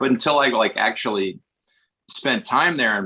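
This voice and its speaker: A man talks with a bright, sharp tone at a fairly quick pace. His pitch swings very widely. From US Northeast, Westchester north of New York City. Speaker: actor. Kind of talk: podcast interview, casual chat.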